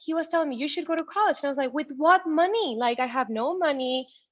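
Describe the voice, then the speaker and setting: A Spanish accent against a quiet background. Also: woman. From Ciudad Juarez, Mexico; moved to El Paso, Texas at 13. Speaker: tech professional, first-generation college graduate. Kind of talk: interview, personal story. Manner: animated, with many fillers and restarts.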